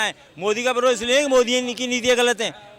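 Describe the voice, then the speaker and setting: Over noticeable background noise, a man speaks at an extremely high pitch. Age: 60s. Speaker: lawyer, interviewee in street poll. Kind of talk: street interview.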